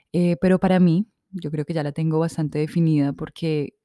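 At a moderate pace, a woman speaks with a very deep, low pitch and a dark, mellow tone, recorded very cleanly against a silent background with a dry, close sound and no echo. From Colombia, Manizales. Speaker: podcast host. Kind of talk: casual monologue. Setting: seated recording.

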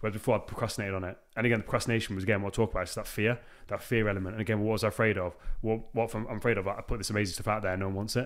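Speaking at a very fast pace in a British accent, a man keeps his fairly low voice in a monotone, flat intonation. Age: 30s. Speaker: podcast host. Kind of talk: casual interview chat. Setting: podcast recording.

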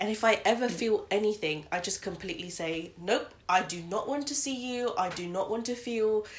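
Speaking at a moderate pace, a woman uses a fairly high pitch with ordinary pitch variation. Noticeable background noise is present. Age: 20s. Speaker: podcast co-host. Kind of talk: casual chat.

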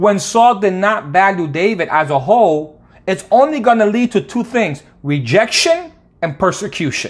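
A man with an American accent, high pitch, very wide pitch swings and a moderate pace. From Connecticut, US East Coast. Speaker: podcast host, faith teacher. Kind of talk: devotional podcast monologue.

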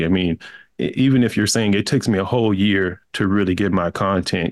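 A man with an American accent and an ordinary speaking voice talks at a fairly quick pace, fairly low in pitch. The pitch varies an ordinary amount, and the recording is very clean with a silent background. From small-town Texas. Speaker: entrepreneur. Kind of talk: interview.

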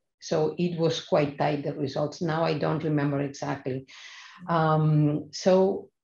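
With a Spanish accent, a woman speaks at a moderate pace in a very deep, low pitch, somewhat breathy, with a dark, mellow tone and monotone, flat intonation over a quiet background. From Spain, Barcelona (raised partly in Madrid). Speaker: hematologist and stem cell transplant physician. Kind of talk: interview conversation. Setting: remote call. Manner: hesitant, with frequent fillers.

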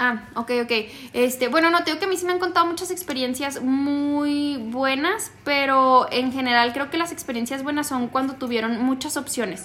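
Her pace is moderate. The woman speaks with a high pitch. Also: ordinary pitch variation. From northern Mexico. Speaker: podcast co-host. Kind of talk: casual chat.

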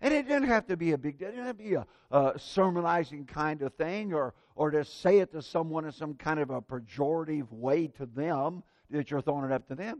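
Here is a man with an American accent and a normal speaking voice. His pitch is fairly high and his intonation lively. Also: fairly quick pace. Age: 60s. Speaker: preacher. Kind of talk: sermon.

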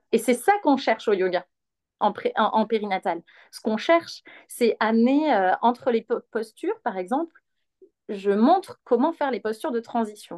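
A woman's plain, everyday voice at a fairly high pitch and moderate pace, with lively intonation, dry, close sound with no echo and a quiet background. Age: 30s. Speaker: perinatal yoga teacher. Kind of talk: guided exercise instruction; casual interview.

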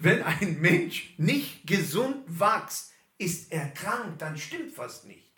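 Audible room echo surrounds a man who speaks very slowly in a high pitch, his tone bright and sharp, his intonation lively, and his loudness swinging widely. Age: 50s. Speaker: pastor. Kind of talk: sermon.

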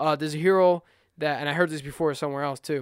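A man at a fairly high pitch, dry and close with no echo, very cleanly recorded over a silent background. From Puerto Rican heritage. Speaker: podcaster. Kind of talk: solo monologue podcast. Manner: fast; animated.

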